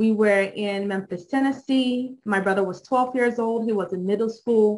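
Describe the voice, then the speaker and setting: With a slight Nigerian accent, a woman talks at a fairly high pitch and with fairly even intonation. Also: moderate pace. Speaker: judicial candidate. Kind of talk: campaign speech.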